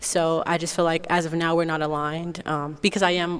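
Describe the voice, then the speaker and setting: In monotone, flat intonation, a woman speaks at a fairly low pitch. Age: 20s. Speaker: dating show contestant. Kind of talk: casual chat.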